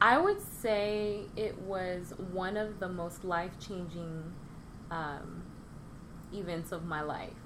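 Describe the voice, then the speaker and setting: Audible room echo surrounds a very slow voice with fairly even intonation. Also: woman, medium pitch for a woman. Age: 30s. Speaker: baker and Navy veteran. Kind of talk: casual interview.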